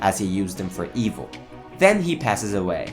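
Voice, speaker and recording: Very wide pitch swings at a moderate pace, with music in the background. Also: man. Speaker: comics video narrator. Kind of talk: comic origin story narration.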